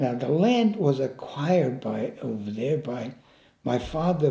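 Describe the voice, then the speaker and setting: A man with fairly high pitch, a somewhat breathy, dark and mellow tone and a fairly slow pace, with audible room echo. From Italy. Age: 90s. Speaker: war veteran. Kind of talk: life story interview. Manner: halting, repeats words.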